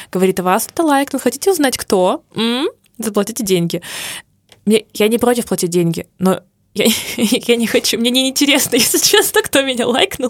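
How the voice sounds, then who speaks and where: The voice has an animated tone and lively intonation at a moderate pace, with long, frequent pauses, very even loudness and a dry, close sound with no echo. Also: woman, fairly high pitch for a woman. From Urals, Russia. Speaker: podcast co-host, advertising creative. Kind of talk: casual chat.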